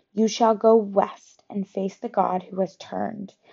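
A woman's raspy, put-on character voice, medium in pitch, at a moderate pace. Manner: prophetic.

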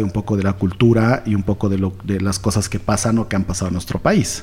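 A man talks at a very fast pace. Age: 40s. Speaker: entrepreneur, escape room owner. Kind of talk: interview.

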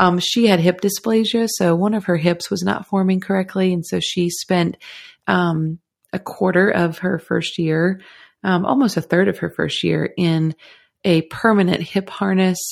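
This woman has a plain, everyday voice at a medium pitch, with fairly even intonation. She talks at a moderate pace on a very clean recording with a silent background. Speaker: guest, photographer. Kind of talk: casual interview chat.

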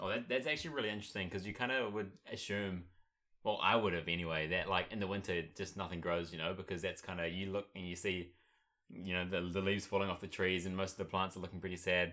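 At a very fast pace, a man with a New Zealand accent speaks in a very deep, low pitch with a bright, sharp tone and fairly even intonation, in a very clean recording with a silent background. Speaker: podcast co-host. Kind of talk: casual chat.

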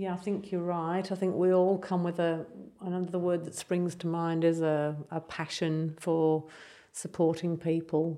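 A woman speaks fairly slowly in an English accent, her pitch fairly low. Her tone is dark and mellow, her intonation monotone and flat. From England. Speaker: palliative care nurse. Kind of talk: interview.

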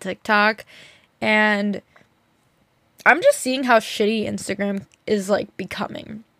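Over a silent background on a very clean recording, a woman with an unremarkable speaking voice talks at a fairly high pitch. Her intonation stays fairly even. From New Jersey. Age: 20s. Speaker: podcast host. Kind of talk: casual solo talk. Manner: talkative, filler-heavy.

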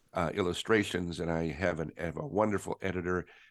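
Against a quiet background, a man with an American accent speaks at a very deep, low pitch with fairly even intonation. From US West, northern Colorado. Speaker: creativity trainer and author. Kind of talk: interview.

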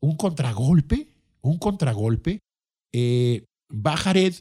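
With a Mexican accent, a man speaks in an animated tone. His pitch swings very widely. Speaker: podcast host. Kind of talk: casual monologue.

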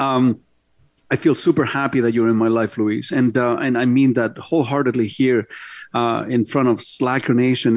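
An unremarkable speaking voice keeps fairly even intonation at a moderate pace against a quiet background. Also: man. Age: 50s. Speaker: radio host and car dealer. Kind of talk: casual radio talk show. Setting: studio.

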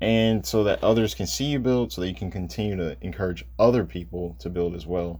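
A man with an American accent speaks in a very deep, low, somewhat breathy voice that swings very widely in pitch. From Michigan, Detroit. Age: 20s. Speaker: podcast host, visual artist. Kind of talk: solo podcast monologue.

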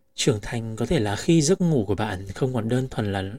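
In a calm tone, a man speaks with a somewhat breathy voice. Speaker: podcast host. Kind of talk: reflective monologue.

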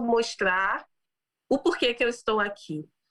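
Her voice sits at a high pitch for a woman, with ordinary pitch variation. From Brazil. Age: 30s. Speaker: business executive and founder. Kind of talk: interview about personal story.

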